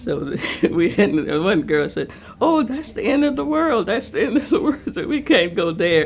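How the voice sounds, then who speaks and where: With an American accent, a woman talks at a moderate pace. Noticeable background noise can be heard. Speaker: elder sharing memories. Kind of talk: oral history interview.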